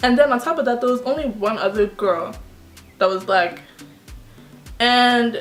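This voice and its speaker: Music plays in the background as a woman speaks in a playful tone at a fairly slow pace with ordinary pitch variation. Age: young. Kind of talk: casual talk to camera. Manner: playful, sassy.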